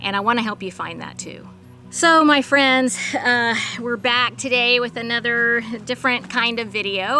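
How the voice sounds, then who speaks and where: A woman talks with an American accent and fairly even intonation. Music plays in the background. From Texas, Duncanville. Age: 50s. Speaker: backyard chicken educator and video creator. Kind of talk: personal vlog monologue. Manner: earnest, with hesitations.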